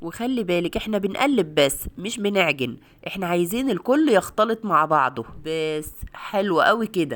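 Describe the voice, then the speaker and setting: Warm-toned woman with an Egyptian accent, medium pitch and very wide pitch swings, at a fairly slow pace, on a very clean recording with a silent background. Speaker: cooking video host. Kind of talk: cooking tutorial. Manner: warm, chatty.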